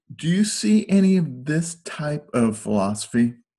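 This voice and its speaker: Somewhat breathy and dark, mellow in tone, a man's voice sits at a fairly high pitch and makes very wide pitch swings. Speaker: podcast host. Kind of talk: casual chat.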